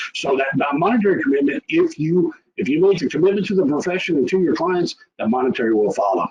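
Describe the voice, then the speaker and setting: The speech comes at a very fast pace with very even loudness. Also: man. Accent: Texas. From rural Texas. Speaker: tax preparer. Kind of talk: webinar presentation.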